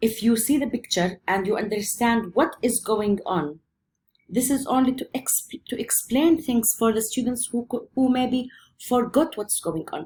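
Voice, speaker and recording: A woman speaks at a moderate pace in a somewhat breathy voice, with ordinary pitch variation. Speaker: physics teacher. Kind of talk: lecture.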